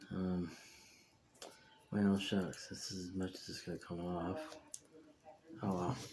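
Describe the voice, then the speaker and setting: A quiet man's very deep, low voice at a fairly slow pace, fairly even in intonation, with long, frequent pauses and audible room echo. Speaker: hobbyist video maker, model rocket builder. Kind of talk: casual tutorial. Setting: home workshop. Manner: quiet to avoid disturbing neighbors.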